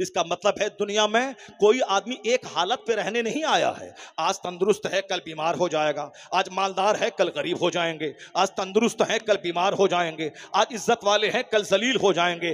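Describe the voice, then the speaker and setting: Against noticeable background noise, a man talks at a high pitch for a man, with ordinary pitch variation. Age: 50s. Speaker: Islamic cleric. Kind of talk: sermon.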